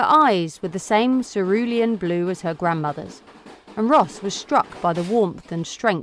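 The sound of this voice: With pitch varying in an ordinary way, someone reads in an unforced reading voice.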